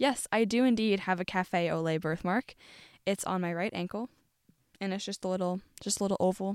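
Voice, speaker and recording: In a plain, everyday voice, a woman talks at a moderate pace and medium pitch with ordinary pitch variation, the sound dry and close with no echo on a very clean recording over a silent background. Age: young. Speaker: college radio host. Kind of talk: solo podcast monologue, partly scripted. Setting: studio.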